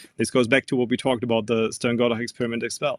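A man's medium-pitched voice with a German accent, dry and close with no echo. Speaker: physics professor. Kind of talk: interview. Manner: halting, frequent um and uh.

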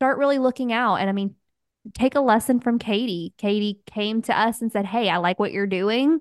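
Against a quiet background with a dry, close sound and no echo, a woman with an ordinary speaking voice talks at a moderate pace in a fairly high pitch with ordinary pitch variation. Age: 30s. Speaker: podcast host, virtual assistant. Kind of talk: casual chat.

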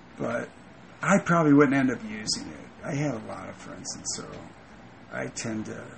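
Noticeable background noise sits behind a man speaking at a medium pitch. His pace is moderate and his intonation lively. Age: 40s. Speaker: landscaper. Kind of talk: interview. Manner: halting.

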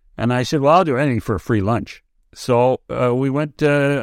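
With a Canadian accent, a man speaks at medium pitch and a moderate pace, using ordinary pitch variation. The recording is very clean, with a silent background. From British Columbia interior, Canada. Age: 60s. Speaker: sports broadcaster. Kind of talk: interview. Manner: halting, many repeated words.

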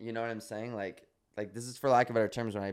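The speaker is a man. His pitch sits fairly low. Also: very clean recording, silent background. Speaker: podcast co-host, former social media star. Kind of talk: casual chat. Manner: animated.

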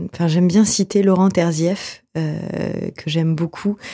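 A woman's fairly low, somewhat breathy voice with a dark, mellow tone moves at a moderate pace with fairly even intonation in a dry, close sound with no echo. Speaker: theatre director and actress. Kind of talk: radio interview. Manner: halting, many fillers.

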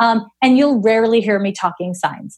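A woman with a Canadian accent speaks at a fairly high pitch. Her voice is somewhat breathy, and her pace is moderate. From Canada, Montreal. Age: 40s. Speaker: astrologer and psychic medium. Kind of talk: interview conversation.

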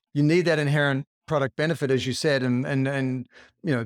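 A man with an Australian accent talks at a very fast pace in a medium pitch, his intonation fairly even. The sound is dry and close with no echo, and the recording is very clean over a silent background. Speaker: podcast host and author. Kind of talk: interview.

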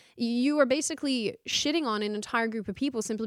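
Lively intonation marks a woman speaking with an Australian accent. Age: 20s. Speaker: political commentary host. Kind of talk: casual chat.

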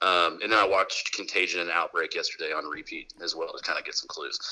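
A man's speech comes fairly quickly, with background noise clearly noticeable behind it. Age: 30s. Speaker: construction worker and sports fan. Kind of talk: casual chat.

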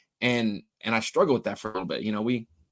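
A man's voice in a dry, close recording with no echo. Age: 30s. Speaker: fishing TV broadcaster. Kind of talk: casual chat.

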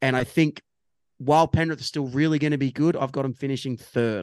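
A very fast, medium-pitched male voice with an Australian accent, ordinary pitch variation and a dry, close sound with no echo. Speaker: rugby league podcast co-host. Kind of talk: casual sports chat. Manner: jokey.

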